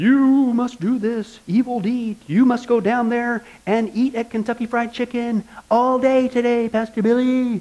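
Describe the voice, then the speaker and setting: Using a put-on character voice, a man speaks at an extremely high pitch. His pace is moderate. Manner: ominous, commanding.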